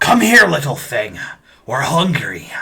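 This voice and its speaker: A man puts on a gruff, raspy character voice with a fairly high pitch. He speaks at a fairly slow pace. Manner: menacing, hungry.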